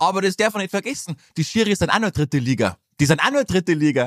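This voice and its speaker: The pace is fairly quick, and the sound is dry and close with no echo. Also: man. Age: 20s. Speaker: football podcast co-host. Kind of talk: casual chat.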